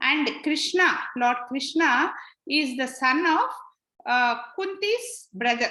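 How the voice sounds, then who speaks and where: With a raised, projected voice and a bright, sharp tone, a woman speaks very slowly at a high pitch, her intonation lively amid audible room echo. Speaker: spiritual teacher. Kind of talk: lecture. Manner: halting.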